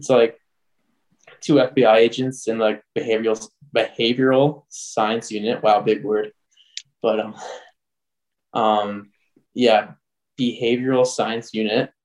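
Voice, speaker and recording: A man with an Ontario accent, medium pitch and fairly even intonation, at a fairly slow pace with long, frequent pauses. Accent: Canadian (Ontario). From Canada. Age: 20s. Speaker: junior hockey player. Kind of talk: casual chat.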